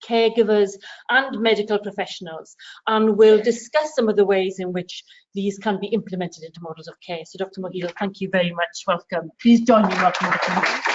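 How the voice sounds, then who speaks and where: A woman with a Welsh accent talks at a very fast pace, her pitch medium with ordinary variation. Her loudness swings widely. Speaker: event chair introducing speaker. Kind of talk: speaker introduction.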